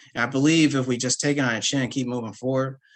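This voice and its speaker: A man with an American accent and a normal speaking voice, medium in pitch, at a fairly quick pace over a quiet background. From Berkeley, California. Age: 30s. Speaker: artist. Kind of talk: panel discussion.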